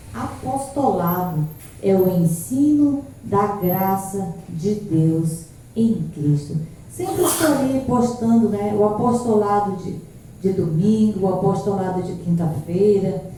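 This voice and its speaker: Soft-spoken woman of medium pitch and lively intonation at a very slow pace, amid audible room echo and noticeable background noise. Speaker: pastor and evangelist. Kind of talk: sermon. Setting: church service streamed live.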